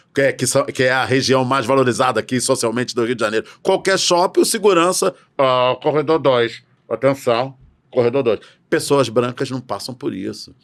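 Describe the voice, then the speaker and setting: The recording is very clean and the background silent. A man talks at a moderate pace, his medium pitch showing ordinary variation. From Brazil. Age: 60s. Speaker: educator on racial literacy. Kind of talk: podcast interview. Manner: animated.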